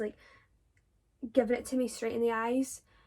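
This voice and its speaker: A woman with a Scottish accent speaks at a fairly quick pace and a fairly high pitch. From Scotland. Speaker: drama student vlogger. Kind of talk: casual Q&A vlog. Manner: animated.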